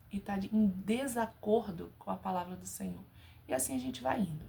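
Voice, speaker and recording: A woman at a moderate pace. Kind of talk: casual religious talk to camera. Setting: home bedroom. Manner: animated.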